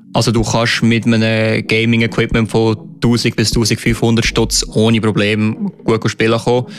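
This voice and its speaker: Over noticeable background noise, a man speaks at a fairly slow pace, his intonation monotone and flat and his loudness very even. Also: medium pitch for a man. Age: 20s. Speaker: esports player. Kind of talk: interview. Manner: hesitant, many filler sounds.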